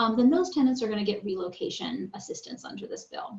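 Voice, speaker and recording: Lively, fairly quick female speech with audible room echo and noticeable background noise. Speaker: attorney. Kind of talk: lecture. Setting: video call. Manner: fast.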